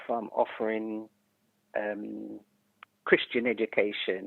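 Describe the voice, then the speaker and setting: A woman with a slight Jamaican accent speaks in a very deep, low pitch with monotone, flat intonation. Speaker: retired educator and community leader. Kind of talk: podcast interview.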